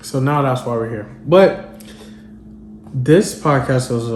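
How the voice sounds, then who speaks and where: A man speaks at a medium pitch with ordinary pitch variation. Both room echo and background noise can be heard. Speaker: podcast host. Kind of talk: solo podcast monologue. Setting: at home. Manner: casual, conversational.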